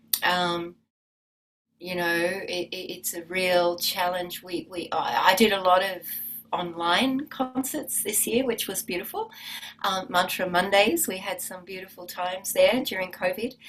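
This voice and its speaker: With an Australian accent, a woman at a medium pitch speaks at a fairly slow pace, showing ordinary pitch variation and big swings in loudness. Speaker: musician and yoga teacher. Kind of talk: interview. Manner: halting.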